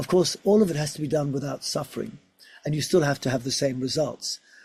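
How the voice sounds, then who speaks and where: This man has a fairly high pitch and a dark, mellow tone that is somewhat breathy. The recording is very clean, with a silent background. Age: 60s. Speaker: physiotherapist and research scientist. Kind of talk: interview.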